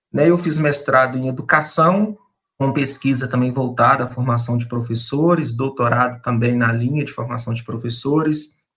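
A man speaks at a fairly slow pace. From eastern Minas Gerais, Brazil (Peçanha). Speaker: education professor. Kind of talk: radio interview. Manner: hesitant, many fillers.

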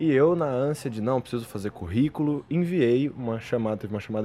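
A man at medium pitch and a moderate pace. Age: 20s. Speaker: history master's student. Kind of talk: casual chat.

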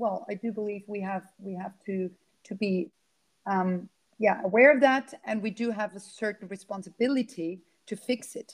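Here a woman speaks with a German accent. Her pitch is fairly high. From Austria. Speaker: climate activist and keynote speaker. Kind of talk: casual interview. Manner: halting, many fillers.

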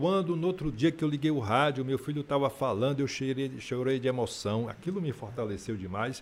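With a plain, everyday voice, a man talks at a fairly quick pace with hardly any pauses, at a medium pitch and ordinary pitch variation. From Feira de Santana, Bahia, Brazil. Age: 60s. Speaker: politician and radio presenter. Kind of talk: interview. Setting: studio.

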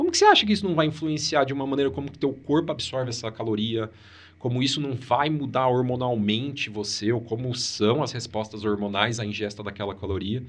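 At a fairly quick pace, a man speaks in a normal speaking voice with a medium pitch and ordinary pitch variation. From Brazil, Paraná (Maringá). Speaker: oncologist. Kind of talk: interview conversation.

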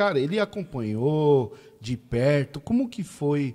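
With a dark, mellow tone, a man speaks at a fairly slow pace with lively intonation. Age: 40s. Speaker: podcast host. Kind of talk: casual chat. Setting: studio. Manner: animated.

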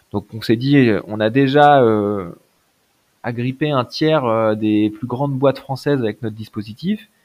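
An unremarkable speaking voice, a man's, moves at a fairly slow pace with ordinary pitch variation. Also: medium pitch for a man. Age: 30s. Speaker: entrepreneur. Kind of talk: interview.

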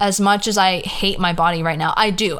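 Speaking fairly slowly, a woman talks with an American accent. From California. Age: 20s. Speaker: podcast host. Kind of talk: casual solo monologue.

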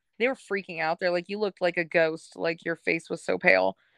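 A woman is speaking. Her pitch is medium. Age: 20s. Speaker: guest sharing recovery story. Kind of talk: personal testimony.

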